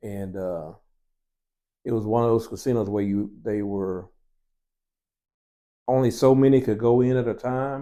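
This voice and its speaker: On a very clean recording with a silent background, a man speaks at a medium pitch and moderate pace in a dark, mellow tone, with ordinary pitch variation and long, frequent pauses. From US South, Tennessee. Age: 60s. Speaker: family elder interviewee. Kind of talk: casual interview storytelling.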